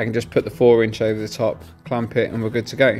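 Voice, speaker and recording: The speech moves at a very fast pace. Faint music plays in the background. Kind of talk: casual show-and-tell explanation. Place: workshop. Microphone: phone near.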